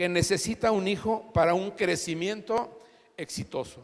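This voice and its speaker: At a very slow pace, a man speaks with a high pitch. His intonation is fairly even. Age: 60s. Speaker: pastor. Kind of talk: sermon.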